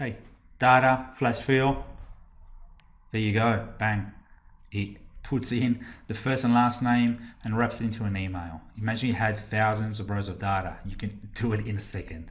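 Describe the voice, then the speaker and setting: With an Australian accent and audible room echo, a man talks at medium pitch and a moderate pace, his intonation fairly even and broken by long, frequent pauses. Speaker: Excel trainer. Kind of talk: tutorial.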